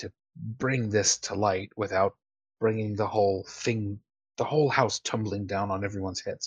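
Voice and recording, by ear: In a natural voice, someone reads aloud with ordinary pitch variation while the background stays quiet.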